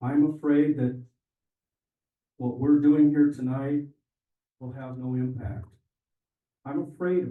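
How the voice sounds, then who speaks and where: A man with a medium pitch, a fairly slow pace, ordinary pitch variation, long and frequent pauses, big swings in loudness and audible room echo. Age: old. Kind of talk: public comment speech. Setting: town hall meeting with audience.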